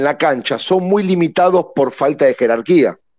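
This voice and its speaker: A man with an unremarkable speaking voice talks at a fairly slow pace. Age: 50s. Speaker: football fan caller. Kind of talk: casual chat.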